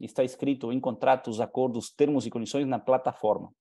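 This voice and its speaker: A man with a Uruguayan accent talks at a fairly quick pace, his fairly high voice dark and mellow over a quiet background. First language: Spanish (speaking Portuguese). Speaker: business presenter; presenter. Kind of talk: sales pitch. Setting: live online conference. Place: home room. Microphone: headset.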